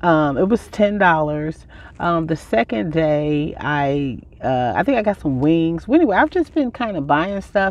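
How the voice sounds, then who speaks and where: A woman with an unremarkable speaking voice talks at a fairly low pitch, the sound dry with no echo. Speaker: van life vlogger. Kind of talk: casual vlog chat. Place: car. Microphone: phone near.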